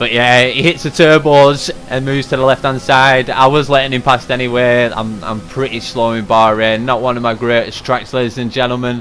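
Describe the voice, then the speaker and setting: Music plays behind a man speaking at a fairly quick clip. His intonation stays fairly even. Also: medium pitch for a man, hardly any pauses. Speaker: sim racing league driver and commentator. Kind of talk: race recap commentary. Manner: fast.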